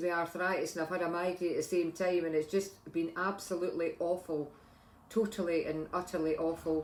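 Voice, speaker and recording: A woman speaks with an Edinburgh accent. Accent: Scottish (Edinburgh). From Scotland, Edinburgh. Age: 60s. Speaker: vlogger, retired lab technician. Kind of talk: casual vlog talk. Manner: halting, many fillers and restarts.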